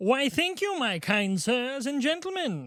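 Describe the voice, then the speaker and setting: The speaker performs a put-on character voice with very wide pitch swings. The pace is fairly slow. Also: man. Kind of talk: courtly, old-fashioned. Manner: flamboyant, theatrical.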